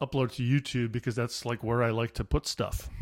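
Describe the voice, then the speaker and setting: On a very clean recording with a silent background, a man speaks fairly quickly at a medium pitch with ordinary pitch variation. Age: 50s. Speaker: comedian. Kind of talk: solo monologue podcast, casual rambling. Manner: rambling, self-deprecating, digressive; mumbles, sometimes not enunciating.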